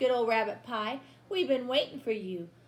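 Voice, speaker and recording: A female-sounding, put-on character voice talks at a high pitch and a moderate pace. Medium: read story.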